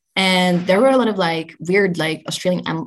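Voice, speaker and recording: Speaking at a moderate pace with a Dutch accent, a woman uses a fairly low pitch with ordinary pitch variation. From Netherlands. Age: 20s. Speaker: journalist and content creator. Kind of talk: interview.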